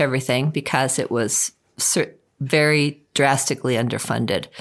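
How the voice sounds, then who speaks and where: A woman speaks with an American accent at a moderate pace and ordinary pitch variation. The recording is very clean, with a silent background. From US Northeast, Long Island, New York. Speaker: river trip outfitter and travel booker. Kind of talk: interview.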